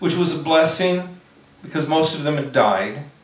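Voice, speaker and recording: The man's voice carries audible echo from the room. He talks fairly slowly. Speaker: poet. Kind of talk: poetry reading. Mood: soft, tender, sorrowful. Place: stage. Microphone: podium.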